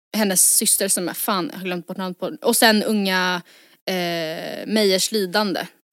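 A woman with a plain, everyday voice speaks at a fairly slow pace, medium in pitch with ordinary pitch variation. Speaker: podcast co-host. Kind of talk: casual chat.

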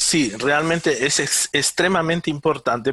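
At a fairly slow pace, a man speaks with a high pitch and a bright, sharp tone. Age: 50s. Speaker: neuroscientist and electronic engineer. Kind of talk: interview. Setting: remote call.

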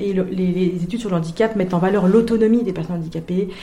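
A woman's speech, with ordinary variation in pitch, carries audible room echo and noticeable noise behind it. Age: 30s. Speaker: sociology doctoral student. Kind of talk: interview. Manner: hesitant, many fillers and repetitions.

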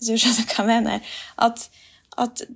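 A woman's fairly high voice at a fairly slow pace. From Finnmark, northern Norway. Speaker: musician. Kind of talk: casual chat. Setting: remote recording.

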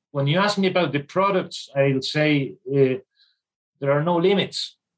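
A man with a slight Irish accent speaks at a high pitch for a man and a fairly slow pace. His loudness stays very even, with ordinary pitch variation. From Spain, Irish mother. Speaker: sales manager for a forklift company. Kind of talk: interview.

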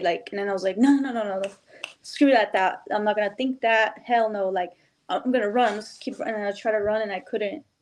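An unremarkable speaking voice is heard here. It keeps a moderate pace. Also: woman. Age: 30s. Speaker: bare knuckle boxer. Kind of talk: casual interview.

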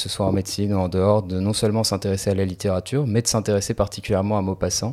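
This man's voice sits fairly low with a dark, mellow tone. His intonation is monotone and flat. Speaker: medical student. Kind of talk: casual chat.

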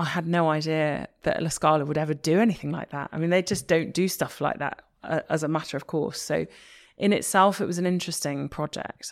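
With a Liverpool accent, the fairly quick speech keeps a fairly even intonation on a very clean recording with a silent background. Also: woman, very deep, low pitch for a woman. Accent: Liverpool (Scouse) English. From Liverpool, England. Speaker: opera singer. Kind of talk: interview.

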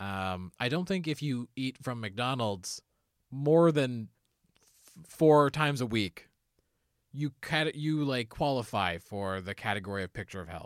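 A man has an ordinary speaking voice at medium pitch with lively intonation, on a very clean recording with a silent background. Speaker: comedy podcast host. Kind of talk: casual chat. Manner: laughs often.

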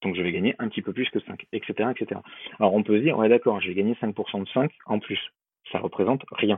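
At a fairly quick pace, a man speaks in a fairly low pitch with ordinary variation. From Bordeaux, southwest France. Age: 20s. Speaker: wealth management advisor. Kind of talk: podcast interview. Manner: verbose, repetitive hesitations.

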